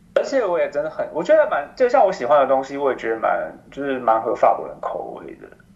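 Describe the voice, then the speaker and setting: Talking very fast with hardly any pauses, a man swings widely in loudness over noticeable background noise. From Taiwan. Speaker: expatriate professional in France. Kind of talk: interview. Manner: animated; halting.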